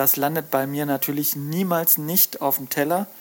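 This man has a normal speaking voice, fairly high in pitch for a man, with fairly even intonation and a fairly slow pace. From Lake Constance region, southern Germany. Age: 40s. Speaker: fisheries scientist and fish smoker, author. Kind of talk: casual interview chat.

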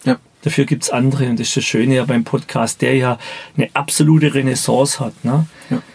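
Speech at a fairly quick pace with fairly even intonation comes through over noticeable background noise. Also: man, medium pitch for a man. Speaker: business mentor. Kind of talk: interview. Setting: podcast studio.

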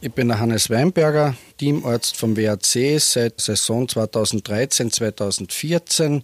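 At a very slow pace, a man talks in a medium pitch with ordinary pitch variation. The sound is dry and close, with no echo. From Austria, Carinthia (Lavanttal). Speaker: team doctor and trauma surgeon. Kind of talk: casual interview. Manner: halting, with repetitions.

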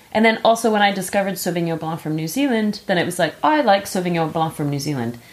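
In an American accent, the speaker races along very fast with lively intonation and hardly any pauses. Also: woman, medium pitch for a woman. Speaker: podcast host. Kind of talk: casual chat about wine.

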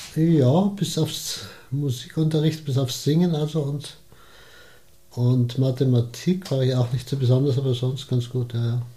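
A somewhat breathy voice with a dark, mellow tone at a fairly slow pace. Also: man, medium pitch for a man, ordinary pitch variation. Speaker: retired advertising executive and gallery founder. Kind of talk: interview.

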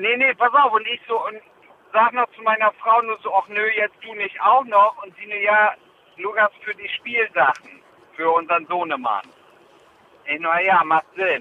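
Over noticeable background noise, a man with a high-pitched voice talks at a fairly slow pace, leaving long, frequent pauses. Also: ordinary pitch variation, big swings in loudness. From northern Germany (Jever, Friesland). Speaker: podcast co-host. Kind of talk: casual chat. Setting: phone call.

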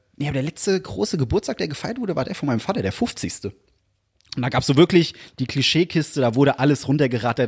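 Speaking at a very fast pace, a man with a fairly high voice sounds animated, his intonation lively. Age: 20s. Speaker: podcast co-host. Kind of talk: casual chat.

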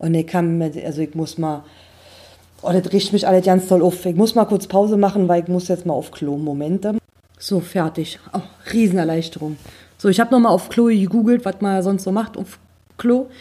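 Her tone is dark and mellow, and this woman speaks at medium pitch with ordinary pitch variation. She keeps a moderate pace broken by long, frequent pauses. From eastern Germany. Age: 30s. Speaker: podcast host. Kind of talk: casual monologue.

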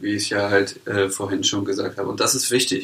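An unremarkable speaking voice from a man at a moderate pace, with ordinary pitch variation. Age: 20s. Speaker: startup founder. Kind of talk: interview.

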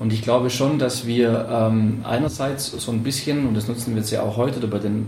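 A man talks at a medium pitch and moderate pace in a monotone, flat delivery. Room echo is audible, along with noticeable background noise. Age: 40s. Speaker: professor and club advisory board member. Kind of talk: interview. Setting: club office.

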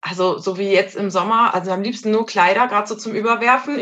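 This woman has a bright, sharp tone. She talks at a fairly quick pace with ordinary pitch variation. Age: 30s. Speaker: mother. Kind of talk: casual interview.

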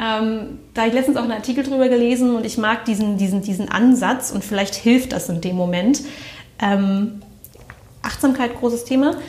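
Speech at a moderate pace with ordinary pitch variation carries audible room echo. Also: woman, fairly high pitch for a woman. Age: 30s. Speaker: management consultant, former intensive care nurse. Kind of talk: interview. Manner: hesitant, many fillers.

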